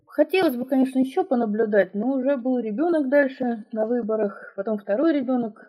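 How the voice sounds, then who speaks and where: A woman has a plain, everyday voice with ordinary pitch variation. She talks at a fairly quick pace. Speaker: mother, former election observer. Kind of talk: personal testimony interview.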